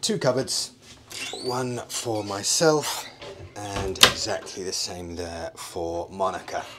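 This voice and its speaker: A man speaks at a very slow pace. Music plays in the background. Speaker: travel vlogger. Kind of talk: casual vlog chat. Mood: upbeat, pleased. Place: boat. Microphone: phone near.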